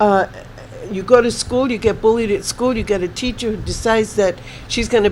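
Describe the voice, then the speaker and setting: Noticeable background noise surrounds a woman speaking at a fairly quick pace. Her voice is fairly high, with fairly even intonation. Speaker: spiritual reader guest. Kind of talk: interview.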